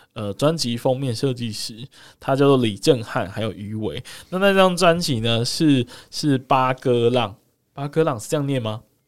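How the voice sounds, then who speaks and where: The recording is very clean, with a silent background. A man talks at a moderate pace in a medium pitch. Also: lively intonation. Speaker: podcast co-host. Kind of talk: casual chat.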